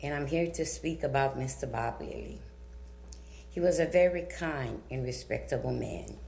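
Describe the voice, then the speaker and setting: With an American accent, a woman speaks at a moderate pace amid audible room echo. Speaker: community speaker at school board meeting. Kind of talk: prepared public comment.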